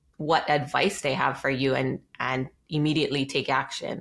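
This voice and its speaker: A woman talks at a moderate pace with fairly even intonation. The recording is very clean, with a silent background. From Hawaii, Maui. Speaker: real estate investor. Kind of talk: interview.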